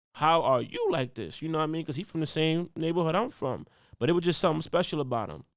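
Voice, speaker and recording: Pitch varies in an ordinary way in this voice with a New York accent. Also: man. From Harlem, New York City. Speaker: podcast host, educator, hip hop artist, public speaker. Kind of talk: casual podcast storytelling.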